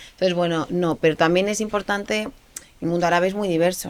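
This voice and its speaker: The woman's intonation stays fairly even. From Spain, Aragon. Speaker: politician. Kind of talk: interview. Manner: hesitant, many fillers and repeats.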